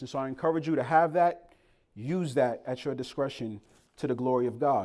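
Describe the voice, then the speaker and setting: A man with an American accent speaks at a moderate pace in an animated tone, with ordinary pitch variation. The recording is very clean, with a silent background. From Boston, Massachusetts. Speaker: pastor. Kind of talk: sermon.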